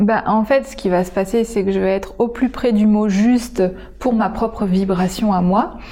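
A woman with a dark, mellow tone and fairly high pitch speaks at a moderate pace with fairly even intonation. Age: 30s. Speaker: artist and healer. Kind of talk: interview.

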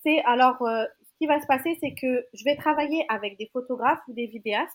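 A high-pitched woman at a moderate pace, with ordinary pitch variation. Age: 30s. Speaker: makeup artist. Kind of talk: casual interview chat.

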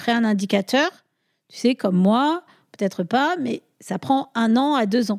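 A woman with a fairly high pitch is heard in a very clean recording with a silent background and a dry, close sound with no echo. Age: 40s. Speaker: sustainability consultant, former chartered accountant. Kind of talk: casual interview. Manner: hesitant, many fillers.

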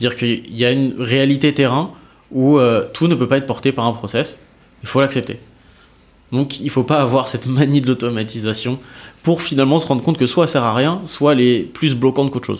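At a fairly quick pace, a man talks in an ordinary speaking voice with medium pitch and fairly even intonation. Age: 30s. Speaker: revenue operations manager. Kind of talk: casual interview.

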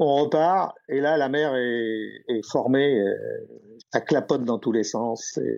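A man's dark, mellow tone at a medium pitch, with ordinary pitch variation and a very slow pace. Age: 70s. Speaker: retired yachtsman. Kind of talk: storytelling interview. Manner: halting.

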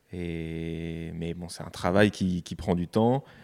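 At a fairly slow pace, the speaker talks in a dark, mellow tone. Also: man, very clean recording, silent background. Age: 20s. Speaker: podcast guest, nature photographer. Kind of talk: casual interview. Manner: hesitant, many fillers and repetitions.

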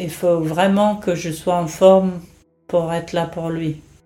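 A woman talks in a fairly low voice with fairly even intonation. Room echo is audible. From England. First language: English (speaking French). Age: 50s. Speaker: nurse and caregiver to her ill husband. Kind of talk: personal testimony. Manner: hesitant, many fillers.

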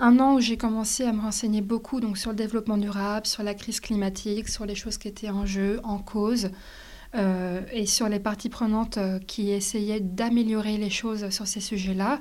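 A woman speaks at a fairly high pitch with a dark, mellow tone. Her intonation is monotone and flat. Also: moderate pace. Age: 20s. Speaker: sustainability entrepreneur. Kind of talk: interview. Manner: halting.

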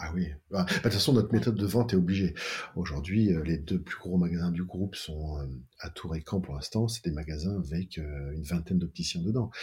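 Somewhat breathy speech moves along at a fairly quick pace. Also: man, very deep, low pitch for a man, ordinary pitch variation. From France, Tours (Touraine). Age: 50s. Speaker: optician business co-founder. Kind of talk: interview. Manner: halting.

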